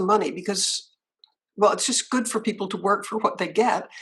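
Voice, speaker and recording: The voice is somewhat breathy, with fairly even intonation. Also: woman. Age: 70s. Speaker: writer and anti-trafficking fundraiser. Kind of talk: interview.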